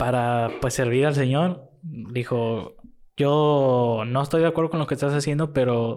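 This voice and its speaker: A man with an ordinary speaking voice at a medium pitch, with ordinary pitch variation and a fairly slow pace, in a very clean recording with a silent background. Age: young. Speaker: guest friend. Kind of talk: casual chat.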